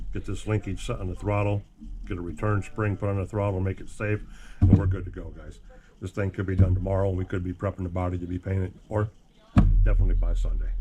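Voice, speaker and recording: Speaking very fast in a very deep, low voice, a man holds a flat, monotone intonation. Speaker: RC hobby YouTuber. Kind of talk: casual workshop vlog. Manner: casual, rambling.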